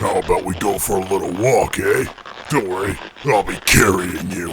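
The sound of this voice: A raspy, put-on character voice moves at a moderate pace over clear background noise. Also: man, fairly low pitch for a man.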